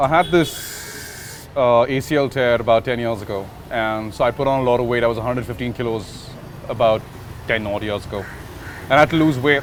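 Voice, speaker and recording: Here a man talks at a fairly quick pace in a medium pitch. His pitch varies in an ordinary way, and background noise is noticeable. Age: 30s. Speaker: basketball player. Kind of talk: interview talk.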